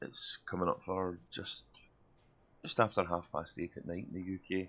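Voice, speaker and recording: This man has a very deep, low voice and a Glaswegian accent. His tone is relaxed and his intonation is flat and monotone. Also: moderate pace. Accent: Glaswegian Scottish. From Glasgow, Scotland. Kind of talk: casual gameplay commentary. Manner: relaxed, chatty.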